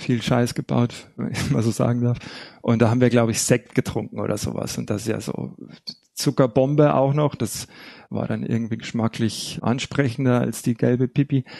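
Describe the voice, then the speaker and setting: A man talks at a moderate pace and medium pitch with fairly even intonation. His tone is dark and mellow, the sound dry and close with no echo. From Bavaria (Hallertau, Upper Bavaria). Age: 40s. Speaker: recovering alcoholic, music therapist and researcher. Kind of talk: personal testimony in interview.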